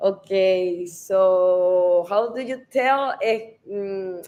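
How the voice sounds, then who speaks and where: This voice has a Spanish accent and fairly even intonation. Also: woman. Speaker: real estate advisor. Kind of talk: live stream interview. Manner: halting.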